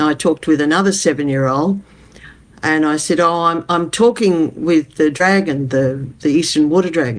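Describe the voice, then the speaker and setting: A woman speaks with an Australian accent in a fairly low pitch. Her intonation is lively and her pace moderate. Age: 80s+. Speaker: community development advocate. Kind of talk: interview.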